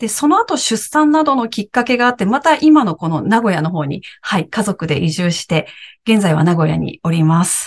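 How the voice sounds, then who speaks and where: A somewhat breathy woman talks at a fairly quick pace, her pitch swinging very widely. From Japan, Aichi. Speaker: podcast co-host, former TV announcer and director. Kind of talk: casual chat.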